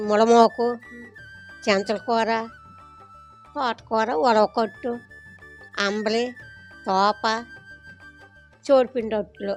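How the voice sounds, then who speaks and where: A woman talks at a fairly high pitch, keeping her intonation fairly even. Music plays behind her. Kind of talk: interview answer.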